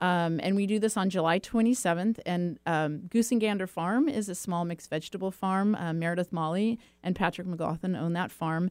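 A woman with an American accent and an unremarkable speaking voice, medium in pitch with ordinary pitch variation, at a fairly quick pace with hardly any pauses, on a very clean recording with a silent background. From California, Silicon Valley. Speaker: nonprofit executive director. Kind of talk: interview.

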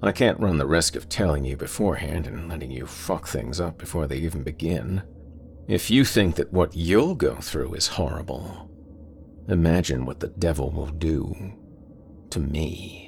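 A man's very deep, low voice with vocal fry and a menacing tone, at a moderate pace with ordinary pitch variation. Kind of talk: horror story monologue. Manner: menacing, taunting.

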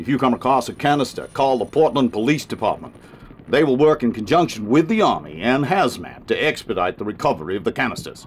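A gruff, put-on character voice races along at a very fast pace. Its pitch swings very widely. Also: man, medium pitch for a man. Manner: commanding, curt, gruff.

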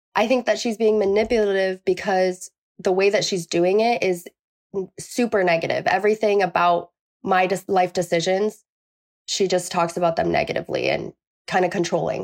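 At a moderate pace, a woman with an unremarkable speaking voice and medium pitch talks with fairly even intonation and very even loudness, in a dry, close sound with no echo. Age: 20s. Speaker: caller seeking advice. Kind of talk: advice call.

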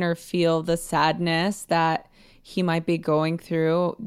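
Very slow speech with an American accent on a very clean recording with a silent background. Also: woman. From Los Angeles, US; Mexican American family. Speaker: podcast guest giving wellbeing advice. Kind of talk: casual advice conversation.

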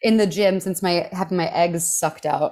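A woman's ordinary speaking voice, fairly low in pitch, with fairly even intonation at a fairly quick pace, on a very clean recording with a silent background. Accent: American. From Texas, Houston. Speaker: comedian. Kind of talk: casual chat.

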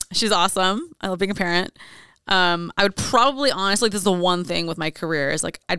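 With vocal fry and a bright, sharp tone, a woman speaks at a moderate pace in a fairly low pitch with lively intonation, recorded very cleanly against a silent background with a dry, close sound and no echo. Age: 30s. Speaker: adult content creator. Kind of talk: casual chat.

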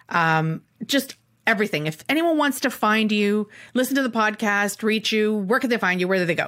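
This woman has an unremarkable speaking voice with a Canadian accent. Her pitch sits fairly high and her pace is moderate. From Canada. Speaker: podcast host and chef. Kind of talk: interview.

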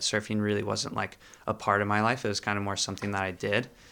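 A man with an American accent and a bright, sharp tone, in a very clean recording with a silent background. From Florida, US. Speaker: surfer. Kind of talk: casual interview. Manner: halting, many filler words.

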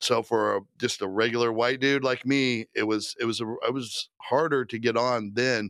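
A man with an American accent and a plain, everyday voice, medium-pitched, at a moderate pace, fairly even in intonation, with a dry, close sound and no echo. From Indiana, Indianapolis area. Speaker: former state police detective turned comedian. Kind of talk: casual interview storytelling.

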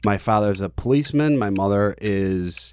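A man with a fairly low pitch has an unremarkable speaking voice and ordinary pitch variation. The recording is very clean, with a silent background. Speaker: guest, boyfriend of host. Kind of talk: casual chat.

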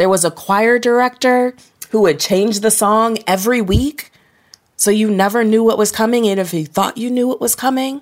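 A woman with a fairly high pitch and ordinary pitch variation speaks in a plain, everyday voice. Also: moderate pace. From Ohio, US Midwest. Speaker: author. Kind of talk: interview conversation.

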